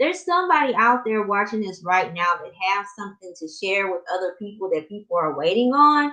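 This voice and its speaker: A woman speaks in a strong Southern US accent at a moderate pace. Her pitch swings very widely. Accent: heavy Southern US. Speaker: life coach. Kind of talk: live stream coaching talk. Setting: live stream. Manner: slightly muffled; casual, conversational.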